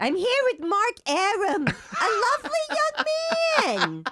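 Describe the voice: A put-on character voice that sounds female, pitched extremely high. The pace is fairly slow.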